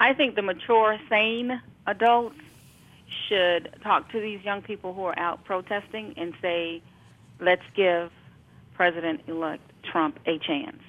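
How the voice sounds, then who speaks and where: A fairly slow American accent with lively intonation and long, frequent pauses. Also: woman, medium pitch for a woman. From Brooklyn, New York. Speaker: educator. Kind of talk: casual chat.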